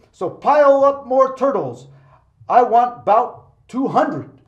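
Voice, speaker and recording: A man's extremely high-pitched voice at a fairly slow pace, with ordinary pitch variation. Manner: royal, commanding.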